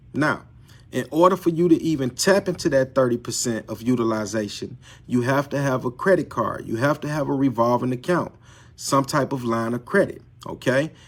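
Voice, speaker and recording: A man talks fairly quickly at a medium pitch, his pitch varying in an ordinary way. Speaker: credit repair coach. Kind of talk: live stream tutorial. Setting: live video stream. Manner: unscripted, repetitive.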